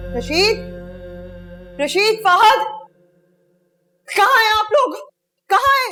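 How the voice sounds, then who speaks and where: Someone in a put-on character voice speaks at a fairly slow pace with long, frequent pauses and ordinary pitch variation, over faint music in the background. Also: woman, extremely high pitch for a woman. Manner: shouting.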